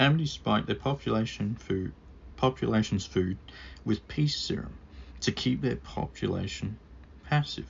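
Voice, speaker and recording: A somewhat breathy man's voice with lively intonation at a moderate pace. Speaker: book reviewer. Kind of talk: scripted book review read to camera.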